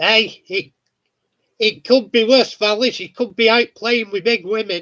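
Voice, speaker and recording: In a northern English accent, a man uses a raised, projected voice with a bright, sharp tone, high pitch, fairly even intonation and a fairly slow pace. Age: 50s. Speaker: model railway hobbyist. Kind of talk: casual chat.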